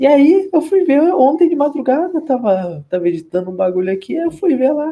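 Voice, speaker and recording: Pitch rises and falls across a very broad range. Delivery keeps to a medium tempo. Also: man. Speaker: podcast co-host, university student. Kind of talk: casual chat.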